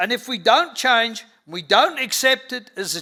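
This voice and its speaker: A raised, projected voice with a bright, sharp tone and lively intonation moves at a fairly slow pace on a very clean recording with a silent background. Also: man. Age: 70s. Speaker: conference speaker, livestock industry figure. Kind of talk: conference talk. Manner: emphatic.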